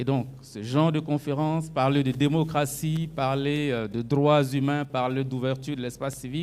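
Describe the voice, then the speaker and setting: A man with fairly high pitch talks at a fairly quick pace with hardly any pauses. His intonation is monotone and flat, with audible room echo. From Burkina Faso. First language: French. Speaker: civic activist. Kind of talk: conference speech.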